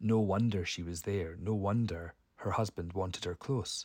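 A man speaks at a fairly low pitch in a somewhat breathy voice, with fairly even intonation. The recording is very clean, with a silent background. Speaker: podcast guest. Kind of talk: recorded voice message.

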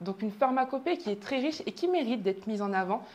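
A woman at a very fast pace. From southern France. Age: 20s. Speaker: pharmacist and show host. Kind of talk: show introduction monologue.

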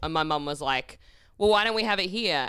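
A woman with an Australian accent, a bright, sharp tone and ordinary pitch variation, on a very clean recording with a silent background. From Perth, Western Australia. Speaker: comedian. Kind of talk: casual chat.

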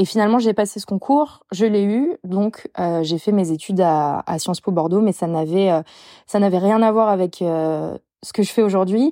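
The recording is very clean, with a silent background and a dry, close sound with no echo. A woman speaks fairly slowly in a dark, mellow tone. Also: medium pitch for a woman, ordinary pitch variation. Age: 30s. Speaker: t-shirt brand creator. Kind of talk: casual interview chat.

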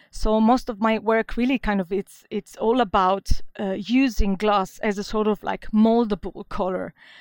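A woman speaks at a moderate pace with fairly even intonation, a fairly high pitch, and hardly any pauses. The recording is very clean, with a silent background and a dry, close sound with no echo. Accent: Italian. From Venice, Italy. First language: Italian. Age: young. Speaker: glass designer. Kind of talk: interview.

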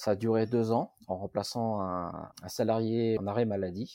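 A man's dark, mellow tone, fairly even intonation, and a very clean recording with a silent background. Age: 40s. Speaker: factory worker. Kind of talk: interview. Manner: halting.

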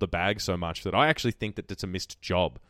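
Speaking very fast with an Australian accent, a man sounds dry and close with no echo on a very clean recording with a silent background. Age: 20s. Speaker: podcast host. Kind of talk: casual chat.

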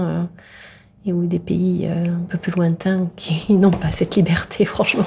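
Very slow and somewhat breathy, the voice has a dark, mellow tone and monotone, flat intonation. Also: woman. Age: 50s. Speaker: politician and doctor. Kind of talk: interview. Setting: meeting room. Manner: halting, many hesitations.

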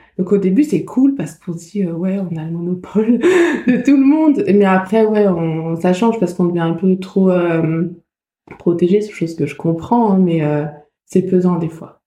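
Dark, mellow tone from a woman at medium pitch. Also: moderate pace. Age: 20s. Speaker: former cancer patient and volunteer. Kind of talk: testimony. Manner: halting.

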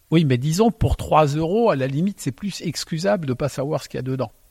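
A man speaks at a fairly quick pace in a dark, mellow, somewhat breathy tone with lively intonation. The sound is dry and close, with no echo. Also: big swings in loudness. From Alsace. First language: Alsatian (speaking French). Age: 60s. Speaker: winemaker. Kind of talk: casual chat. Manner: halting.

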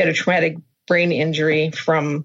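Speaking at a moderate pace, a woman with a plain, everyday voice uses a fairly low pitch and an American accent. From Minnesota, US Midwest. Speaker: dog owner, therapy dog handler. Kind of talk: interview. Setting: video call.

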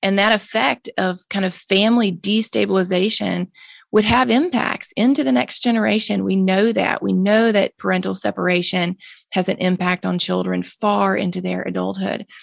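This woman has a Mississippi accent and speaks at a moderate pace. The sound is dry and close, with no echo. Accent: Southern US (Mississippi). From US South, Jackson, Mississippi. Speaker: nonprofit founder, drug policy advocate. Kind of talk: interview conversation.

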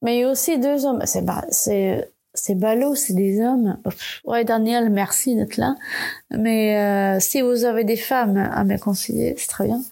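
Very slowly, a woman speaks with a non-native accent. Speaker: podcast host, communication designer. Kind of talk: solo podcast monologue. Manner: hesitant, many fillers and repetitions.

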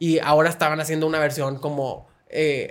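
Here is a man with a plain, everyday voice. He talks at a moderate pace with a fairly high pitch. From Monterrey, northern Mexico. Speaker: podcast host. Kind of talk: interview.

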